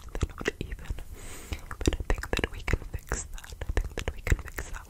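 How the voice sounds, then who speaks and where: A woman speaks in a whisper. Her voice is soft-spoken. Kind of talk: roleplay addressing viewer. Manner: soft close-mic whisper. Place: home room. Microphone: phone near.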